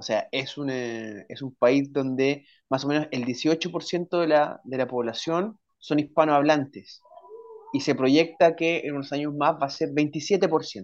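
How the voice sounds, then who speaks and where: Pitched fairly high, a man speaks at a very slow pace with ordinary pitch variation. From Chile. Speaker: writer and language and literature teacher. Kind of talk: casual interview.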